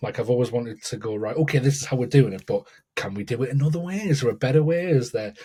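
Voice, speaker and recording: With a northern English accent, a man talks at a very fast pace with lively intonation. His medium-pitched voice is somewhat breathy, with a dark, mellow tone. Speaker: educator and keynote speaker. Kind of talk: podcast interview. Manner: halting, many repetitions.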